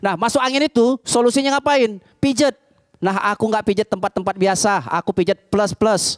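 A man's high-pitched, animated voice at a fairly quick pace, ordinary pitch variation, against a quiet background. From Medan, North Sumatra, Indonesia. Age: 40s. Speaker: stand-up comedian. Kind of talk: stand-up comedy set, storytelling jokes with acted-out dialogue. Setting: stage with live audience. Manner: animated, punchy delivery with comic voices for characters. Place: cafe. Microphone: handheld.

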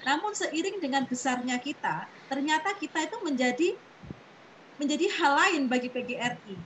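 Over light background noise, a woman with a high pitch speaks at a moderate pace with lively intonation. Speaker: association officer. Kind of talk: online meeting. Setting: video call. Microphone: video call.

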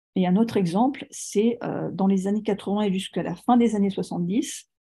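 A woman talks fairly slowly at a medium pitch, her tone dark, mellow and somewhat breathy. Her intonation is fairly even, and the background is quiet. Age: 40s. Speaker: author on serial killers; guest, storyteller. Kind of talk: lecture. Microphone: video call.

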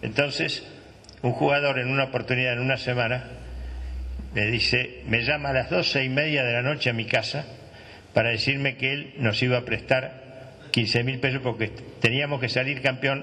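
A man at a moderate pace, monotone and flat in intonation. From Argentina. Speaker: former football club director; former club official on a panel. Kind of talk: panel testimony. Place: hall. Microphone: handheld.

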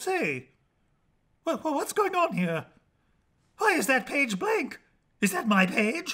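This man uses a put-on character voice at an extremely high pitch with very wide pitch swings. He talks at a very slow pace, broken by long, frequent pauses. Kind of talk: comic overacting. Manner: indignant, complaining.

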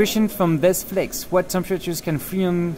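A man with a French accent at a fairly quick pace, clear music in the background. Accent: French accent, milder than he could do. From France. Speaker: overclocking event co-host. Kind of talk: live stream commentary. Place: hall. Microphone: studio mic.

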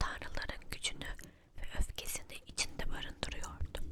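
Someone is whispering. The pace is moderate. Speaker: storyteller. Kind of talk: ASMR story reading. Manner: whispered.

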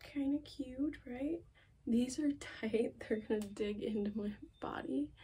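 Her pitch varying in an ordinary way, a woman talks very slowly. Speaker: fashion vlogger. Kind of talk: casual vlog chat. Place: home room. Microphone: phone near.

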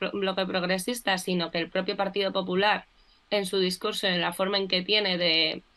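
Monotone, flat intonation from a woman at medium pitch. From Spain. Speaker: political communication specialist. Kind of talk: casual political discussion. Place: home room. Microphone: video call.

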